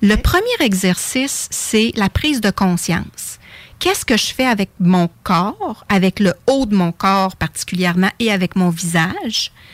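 This woman has an unremarkable speaking voice, medium in pitch and fairly slow in pace. Her loudness is very even, her pitch varies in an ordinary way, and the sound is dry and close with no echo. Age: 50s. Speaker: face yoga teacher. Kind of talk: radio interview.

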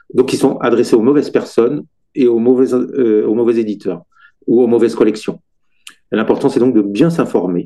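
With long, frequent pauses, a man with a dark, mellow tone speaks at a moderate pace, medium pitch and ordinary pitch variation. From Brittany, France. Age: 50s. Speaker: children's author. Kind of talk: interview.

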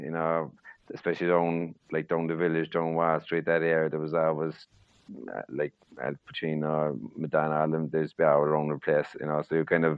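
In a strong Cork accent, a man speaks at a fairly quick pace with a very deep, low pitch. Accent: Cork Irish, strong.

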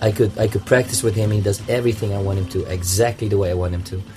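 This man talks at a very fast pace with a non-native accent and a fairly low pitch. His tone is dark and mellow, somewhat breathy, with monotone, flat intonation. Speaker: circus clown. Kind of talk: interview.

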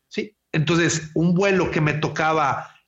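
At a very slow pace, a man speaks in a high pitch. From Monterrey, northern Mexico. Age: 40s. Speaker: wedding photographer. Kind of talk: casual interview. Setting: remote call from home. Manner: halting, repeats words.

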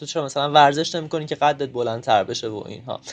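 This man has a normal speaking voice with ordinary pitch variation. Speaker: interviewee. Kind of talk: testimony.

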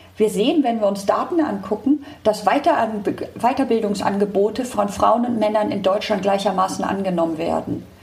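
A woman speaks at a fairly high pitch with ordinary pitch variation and hardly any pauses, over noticeable background noise. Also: moderate pace. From Hamburg, northern Germany. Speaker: tech company director. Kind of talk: interview.

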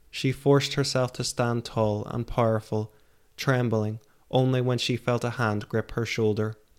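Plain reading aloud is what you hear. Across the clip, the intonation remains fairly even.

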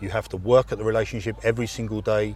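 Talking very fast, a man speaks in an English accent. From England. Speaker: falconer. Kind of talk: interview.

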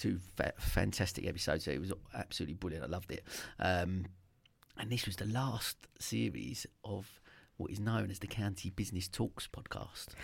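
A man speaks at a fairly quick pace with a very deep, low pitch, lively intonation and vocal fry. The recording is very clean, with a silent background. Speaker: radio host. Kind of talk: radio show chat. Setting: radio studio.

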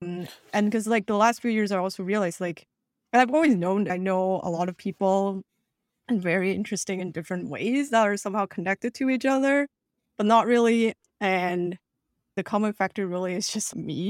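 A woman with a plain, everyday voice talks at a fairly quick pace, her medium pitch showing ordinary variation. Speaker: podcast host. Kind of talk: casual chat. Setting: remote recording.

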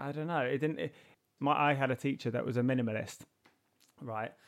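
Here is a man speaking. He has a London accent. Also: very clean recording, silent background. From South London. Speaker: artist and podcast host. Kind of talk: interview.

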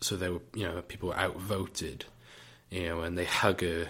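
A man with a British accent speaks at a very deep, low pitch in a bright, sharp tone. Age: 20s. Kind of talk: casual solo talk. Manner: hesitant, filler-heavy.

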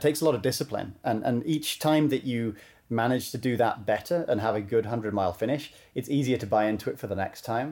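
A man speaks at a very fast pace in a British accent. His dark, mellow voice sits at a medium pitch, with ordinary pitch variation. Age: 30s. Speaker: ultramarathon runner and coach. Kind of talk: podcast interview. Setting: remote call from home. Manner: halting, many repeated words.

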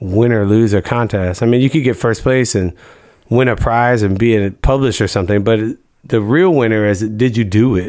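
A man with an American accent has an unremarkable speaking voice, medium in pitch, with ordinary pitch variation and a moderate pace. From US Midwest, Missouri. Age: 40s. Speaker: art collective co-founder and podcast co-host. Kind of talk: casual chat. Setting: studio.

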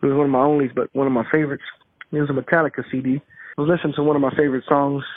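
A man with an American accent, fairly high-pitched, talking very fast in a flat monotone. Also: very even loudness. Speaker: interviewee recounting a ghost experience. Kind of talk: testimony. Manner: halting.

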